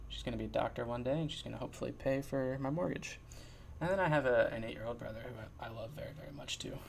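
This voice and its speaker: Mumbling at a very fast pace, a man is heard with audible room echo. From New Jersey. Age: 20s. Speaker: podcast host. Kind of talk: casual monologue. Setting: sitting in his chair at home. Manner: mumbling radio-host style, put-on.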